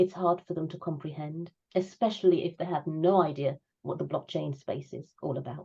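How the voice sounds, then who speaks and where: A woman speaks at a moderate pace with a fairly low pitch, a somewhat breathy, dark, mellow tone and fairly even intonation. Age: 60s. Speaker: crypto enthusiast. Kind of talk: interview answer.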